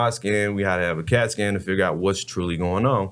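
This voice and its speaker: On a very clean recording with a silent background, a man with an American accent speaks very fast at a fairly low pitch. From Texas, Dallas. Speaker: former college football player and advocate. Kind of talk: testimony.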